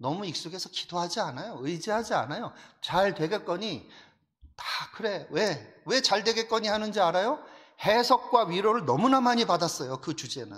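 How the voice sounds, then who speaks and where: Animated, lively intonation at a moderate pace. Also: man, high pitch for a man. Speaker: pastor. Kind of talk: sermon. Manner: rough, forceful.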